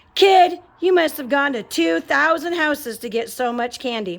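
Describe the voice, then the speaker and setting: In a put-on character voice, a woman speaks at a moderate pace with a high, raspy pitch that swings very widely. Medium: read story. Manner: gruff, blunt.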